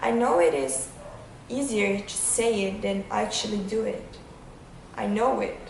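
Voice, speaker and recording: Speaking slowly with long, frequent pauses, a woman with a medium-pitched voice and a non-native accent is heard through audible room echo and noticeable background noise. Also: lively intonation. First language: not English. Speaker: vlogger. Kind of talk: casual vlog monologue. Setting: outdoors on a windy day.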